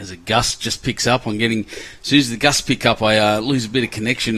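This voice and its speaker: A man with an Australian accent speaks at a fairly quick pace with fairly low pitch, fairly even intonation and a bright, sharp tone. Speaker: lawn bowls commentator. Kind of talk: live commentary. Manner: casual, chatty.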